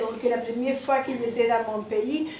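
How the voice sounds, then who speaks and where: Light background noise and audible room echo surround the recording. A woman speaks at a high pitch. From Chile. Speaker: visual artist; panelist. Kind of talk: panel testimony. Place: stage.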